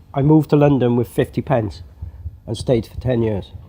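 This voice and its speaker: A somewhat breathy man at a medium pitch, with a Welsh accent and a moderate pace. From Wales. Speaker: drummer and music producer. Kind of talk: interview. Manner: halting.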